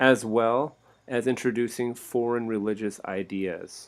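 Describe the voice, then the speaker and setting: On a very clean recording with a silent background, a man speaks at a medium pitch and a fairly slow pace with fairly even intonation. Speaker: teacher. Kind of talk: lecture. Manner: halting.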